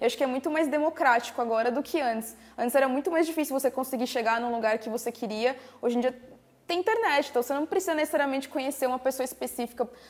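A high-pitched woman speaks very fast, her pitch varying in an ordinary way. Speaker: craft youtuber and podcast host. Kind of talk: casual chat.

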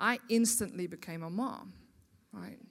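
A woman with a South African accent at a fairly slow pace, lively in intonation, on a very clean recording with a silent background. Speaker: guest speaker at women's church event. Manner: warm, chatty, engaging.

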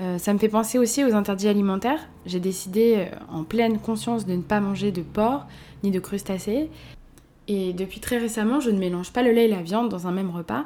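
A woman speaks at a fairly quick pace in a medium pitch, her tone dark and mellow, with ordinary pitch variation. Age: 20s. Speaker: podcast host. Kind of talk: personal monologue. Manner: casual, hesitant with fillers.

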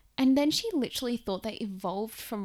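With an Australian accent, a woman talks at a moderate pace with ordinary pitch variation. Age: 20s. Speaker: podcast host. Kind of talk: casual solo story time. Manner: animated.

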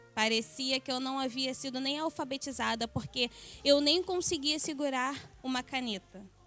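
Music plays in the background as a woman speaks at a moderate pace in a high pitch with ordinary pitch variation. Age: 20s. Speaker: church member giving testimony. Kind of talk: testimony.

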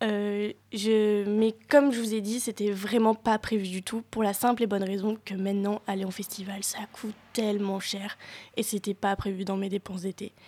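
At a moderate pace, a woman speaks in a medium pitch with a dark, mellow tone and monotone, flat intonation. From French Alps (Hautes-Alpes). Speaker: co-host and stand-up comedian. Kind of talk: radio chronicle.

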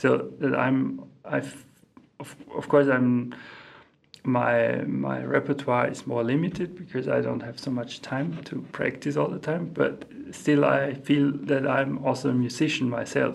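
A man with a German accent at a fairly slow pace, amid noticeable background noise and audible room echo. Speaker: composer and organist. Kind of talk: interview. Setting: music centre in Mexico. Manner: halting, many fillers and repeats.

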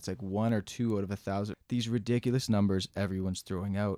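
In a Canadian accent, a man with a normal speaking voice talks at a fairly quick pace and fairly low pitch with ordinary pitch variation, the sound dry and close with no echo. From Mississauga, Ontario, Canada. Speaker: firefighter. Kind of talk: casual interview.

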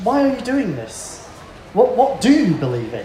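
A man talks at a moderate pace. Noticeable background noise can be heard behind him. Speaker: family support worker and co-presenter. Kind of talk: conference talk. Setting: stage with audience.

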